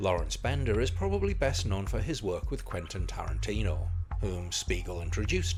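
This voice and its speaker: Background music accompanies a man talking at a moderate pace. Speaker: film reviewer. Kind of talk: film review narration.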